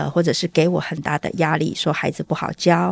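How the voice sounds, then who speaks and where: In a very clean recording with a silent background and a dry, close sound with no echo, the speaker uses vocal fry at a fairly quick pace with fairly even intonation. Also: woman. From southern Taiwan. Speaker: stay-at-home mother and school volunteer. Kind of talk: interview testimony.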